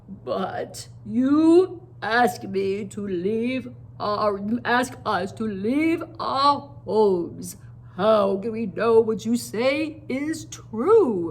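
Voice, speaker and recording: A put-on character voice moves through very wide pitch swings at a very slow pace, with light background noise behind it. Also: woman, fairly high pitch for a woman. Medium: read story. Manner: measured, doubtful.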